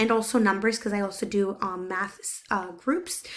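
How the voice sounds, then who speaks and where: A woman's fairly high voice with a Spanish accent, at a fairly slow pace, in a very clean recording with a silent background. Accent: Spanish-accented English, some words hard. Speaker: teacher's aide. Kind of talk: recorded self-introduction. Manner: hesitant, many fillers.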